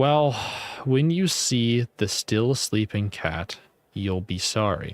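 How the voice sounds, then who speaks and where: A man puts on a character voice with a rumbling sound in a medium pitch. He talks at a very slow pace with lively intonation. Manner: grumbling, sneering.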